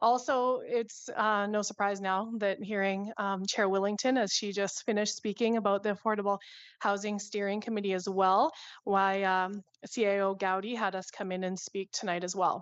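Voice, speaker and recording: A woman with a Canadian accent, medium in pitch and monotone, flat in intonation, against a quiet background. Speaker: nonprofit co-founder presenting to council. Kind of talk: council presentation. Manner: fast.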